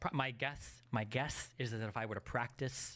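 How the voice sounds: A man at a moderate pace, with a fairly bright tone and medium pitch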